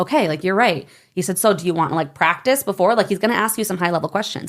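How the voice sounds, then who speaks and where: Animated and very fast, a woman speaks at a medium pitch with an American accent. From Michigan, US. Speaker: network marketer. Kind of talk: interview.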